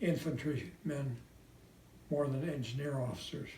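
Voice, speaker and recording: Audible room echo surrounds a man whose fairly high voice is dark, mellow and somewhat breathy, with fairly even intonation at a fairly slow pace. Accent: American. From US Midwest, Indiana (South Bend). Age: 90s. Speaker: World War II veteran. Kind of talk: prepared personal message, read aloud.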